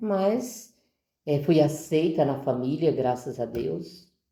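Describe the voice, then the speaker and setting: A woman's lively intonation carries audible room echo. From Brazil, Ceará (Northeast). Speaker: deacon's wife, parishioner. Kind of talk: testimony in podcast interview.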